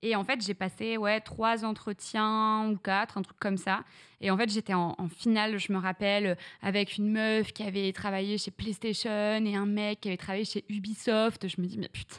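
A woman with a medium pitch speaks at a moderate pace in a monotone, flat intonation. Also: quiet background. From northern France (Reims, Champagne); northern France. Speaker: streamer; podcast guest, streamer. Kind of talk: casual interview chat. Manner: hesitant, many fillers. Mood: relaxed, storytelling. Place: studio. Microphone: studio mic.

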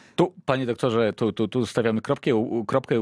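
Speaking with a plain, everyday voice at a medium pitch, a man moves at a fairly quick pace, with a dry sound with no echo and a quiet background. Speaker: radio host. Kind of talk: radio interview. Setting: studio. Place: studio. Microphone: studio mic.

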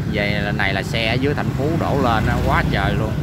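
Dry sound with no echo, plus loud background noise. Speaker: travel vlogger. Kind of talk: casual vlog commentary. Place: street. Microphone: phone near.

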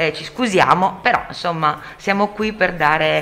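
A woman takes her time, speaking fairly slowly with normal pitch shifts as audible noise runs behind her. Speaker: radio host. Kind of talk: radio talk show.

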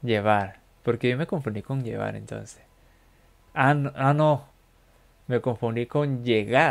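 A man of medium pitch talks very slowly, with long, frequent pauses. His pitch varies in an ordinary way. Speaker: streamer learning English with an app; language learner streamer. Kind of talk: live stream language practice. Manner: casual, halting with fillers.

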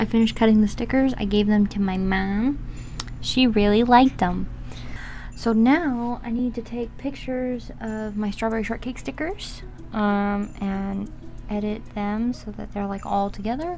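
There is light background noise. A woman speaks at a fairly slow pace with ordinary pitch variation. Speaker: artist vlogger. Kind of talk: casual vlog chat. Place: home room. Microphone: camera far.

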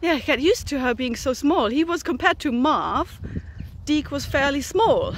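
A woman with a high pitch and lively intonation speaks at a moderate pace, the sound dry with no echo and light background noise. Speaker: horse owner vlogger. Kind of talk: casual vlog chat. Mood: cheerful, upbeat. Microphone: phone near.

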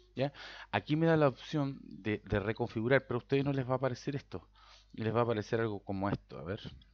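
A man talks at a very fast pace with a Chilean accent. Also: medium pitch for a man, ordinary pitch variation. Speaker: software tutorial maker and IT consultant. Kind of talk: tutorial. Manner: halting, with repetitions and filler 'ya'.

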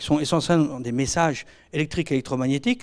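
In a quiet background, a man speaks with a dark, mellow tone. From France, Normandy and Alsace; France. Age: 50s. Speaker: veterinary and agronomy consultant; speaker. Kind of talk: lecture. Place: hall. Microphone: handheld.

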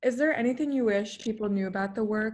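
A woman's fairly high, somewhat breathy voice at a fairly quick pace. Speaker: peer career advisor. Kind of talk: interview. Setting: video call.

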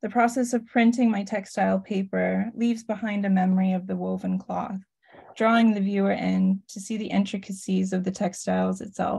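With a quiet background, a woman talks at a moderate pace. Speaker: artist and educator; educator. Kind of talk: presentation. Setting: video call. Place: home room. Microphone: video call.

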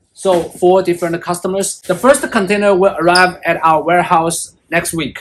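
A man speaks with a high pitch. His pace is moderate.

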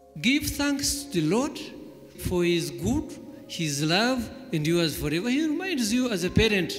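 With faint music in the background, a man speaks at a moderate pace. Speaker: church elder preaching. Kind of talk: sermon. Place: hall. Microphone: handheld.

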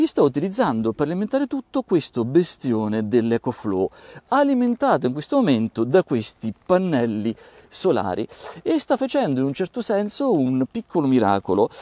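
Moderately paced speech from a man with a fairly high pitch, very wide pitch swings and a dark, mellow tone, dry sound with no echo over a quiet background. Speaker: tech YouTuber, audio reviewer. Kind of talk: product review video. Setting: outdoors. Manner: animated. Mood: cheerful, joking. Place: open country. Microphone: phone near.

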